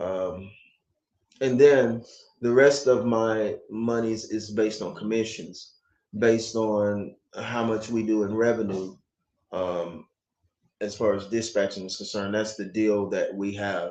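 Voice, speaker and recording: A man's fairly low voice with an American accent, fairly slow pace, fairly even intonation and long, frequent pauses. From United States. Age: 50s. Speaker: vlogger. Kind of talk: casual chat.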